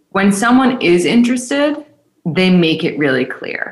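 A woman has an unremarkable speaking voice. She speaks at a fairly slow pace with lively intonation. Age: 20s. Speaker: dating podcast host and matchmaker. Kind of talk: casual interview.

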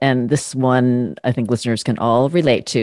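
A woman's very deep, low-pitched voice at a moderate pace, dry and close with no echo, over a quiet background. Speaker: podcast host and communication coach. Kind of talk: interview conversation.

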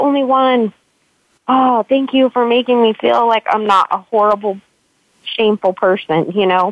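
At a moderate pace, a woman talks in a normal speaking voice with a fairly high pitch. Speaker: author. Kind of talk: casual interview. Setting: online call.

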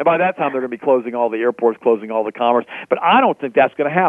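A man speaks at a medium pitch, the sound dry and close with no echo.

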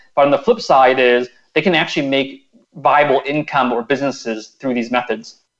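In an unremarkable speaking voice, a man with a fairly high pitch moves at a fairly quick pace with fairly even intonation. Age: 30s. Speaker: personal finance blogger. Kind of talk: radio interview.

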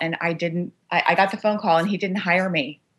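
Here a woman speaks at a fairly low pitch with a Californian accent. Her pace is moderate. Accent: Californian American. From US West Coast, Los Angeles. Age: 50s. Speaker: business executive and author. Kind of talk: interview.

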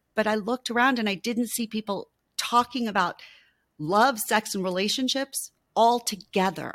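Speaking at a moderate pace in a plain, everyday voice, a woman has a fairly high pitch, recorded very cleanly with a silent background and a dry, close sound with no echo. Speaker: intimacy coach and author. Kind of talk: interview.

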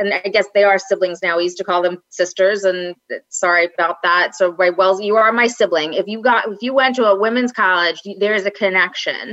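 A woman talks in a Long Island accent at a fairly quick pace. She hardly pauses at all. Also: medium pitch for a woman. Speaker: podcast guest, women's college alum. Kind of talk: casual chat. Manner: animated.

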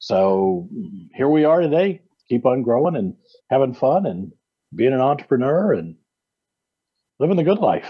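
A man with an American accent speaks at a moderate pace, his pitch swinging very widely and his words broken by long, frequent pauses. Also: medium pitch for a man. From US Midwest, Iowa. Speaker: payroll business owner and tax practitioner. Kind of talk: radio interview.

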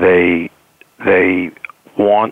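With a New York accent, a man speaks in a very deep, low voice with monotone, flat intonation. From New York City. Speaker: executive coach. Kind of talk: interview.

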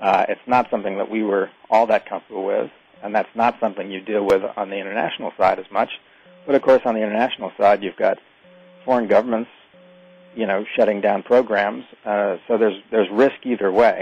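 Over noticeable background noise, a man speaks at a fairly quick pace and a fairly low pitch with fairly even intonation. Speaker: author. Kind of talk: radio interview.

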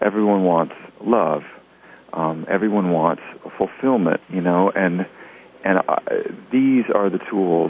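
A man with a very deep, low pitch speaks at a fairly slow pace with very even loudness and long, frequent pauses, over noticeable background noise. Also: ordinary pitch variation. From US South, Tennessee. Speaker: musician. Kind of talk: interview.

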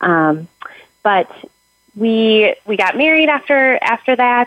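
Using lively intonation, a woman with an American accent speaks at a fairly slow pace in an unremarkable speaking voice. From Minnesota. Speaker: widow and high school counselor. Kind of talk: interview testimony.

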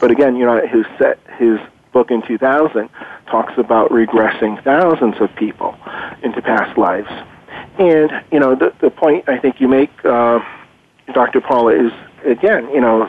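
Speech at a moderate pace comes with long, frequent pauses, ordinary pitch variation and very even loudness, while noticeable background noise sits behind it. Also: man, medium pitch for a man. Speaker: guest expert on reincarnation. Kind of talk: conversational interview, explaining research. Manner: hesitant, filler-laden, earnest.

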